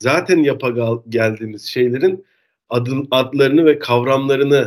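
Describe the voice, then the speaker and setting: This man has a normal speaking voice, medium in pitch with ordinary pitch variation, and talks at a fairly slow pace. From Turkey, Denizli. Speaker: marketing professional. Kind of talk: casual interview.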